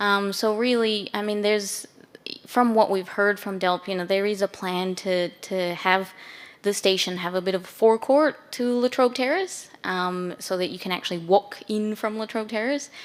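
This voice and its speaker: At a moderate pace, a woman with an Australian accent speaks at medium pitch with ordinary pitch variation. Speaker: council urban designer. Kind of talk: panel discussion.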